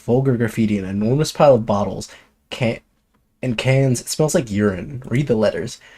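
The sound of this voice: An unforced reading voice is heard. The background stays quiet.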